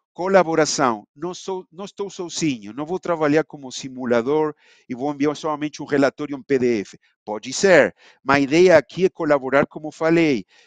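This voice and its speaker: Recorded with a dry, close sound and no echo, a man with a non-native accent speaks in a fairly high pitch over a quiet background. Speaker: simulation engineer presenting software. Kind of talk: online webinar presentation. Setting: live online event. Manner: halting, with many fillers.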